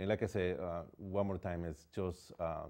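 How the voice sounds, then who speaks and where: Speaking with a Spanish accent, a man has a very deep, low pitch and a dark, mellow tone. His intonation is fairly even, his pace fairly slow, and the background quiet. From Ecuador. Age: 40s. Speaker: painter. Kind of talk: interview. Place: studio. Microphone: lapel.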